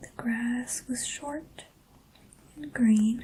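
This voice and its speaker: The speaker is soft-spoken and goes at a very slow pace. Noticeable background noise is present. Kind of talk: ASMR storybook reading. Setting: quiet room with rain in the background. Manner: soft-spoken, slow, relaxing.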